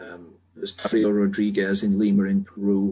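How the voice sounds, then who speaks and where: The voice has a British accent and a dark, mellow tone. It moves at a moderate pace with ordinary pitch variation. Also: man. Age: 70s. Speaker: medical technology developer. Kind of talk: radio interview.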